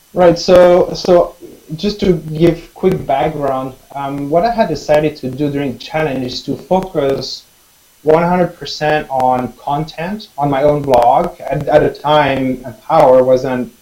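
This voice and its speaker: A man with a non-native accent talks at a fairly slow pace, his fairly high pitch showing ordinary variation. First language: not English. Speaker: online marketer. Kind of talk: testimony. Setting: video call.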